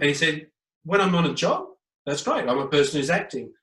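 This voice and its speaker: A man with an Australian accent, pitched fairly high, with lively intonation. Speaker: education speaker and former teacher. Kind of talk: interview.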